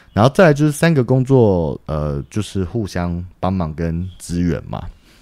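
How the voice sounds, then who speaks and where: With a very deep, low pitch and a dark, mellow tone, the man speaks with lively intonation. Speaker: lighting programmer and master electrician. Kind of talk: casual chat.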